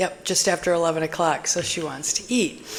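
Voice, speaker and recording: Background noise is noticeable. The speech moves at a moderate pace. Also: woman. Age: 60s. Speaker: health vlogger. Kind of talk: casual monologue. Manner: conversational, with fillers.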